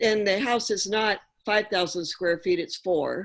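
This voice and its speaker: Against a quiet background, a woman talks at a fairly slow pace. She has a plain, everyday voice with ordinary pitch variation. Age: 60s. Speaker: applicant at public hearing. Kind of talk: public hearing testimony.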